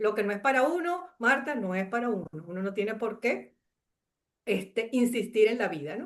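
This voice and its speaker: With a Venezuelan accent, a woman speaks at a moderate pace with lively intonation. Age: 60s. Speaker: chemist and coach sharing life story. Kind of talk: interview testimony. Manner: hesitant with many fillers.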